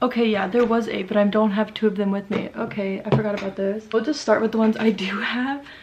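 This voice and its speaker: A woman speaks at a fairly high pitch amid noticeable background noise. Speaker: book youtuber. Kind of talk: casual book review vlog. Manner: casual, filler-heavy (like).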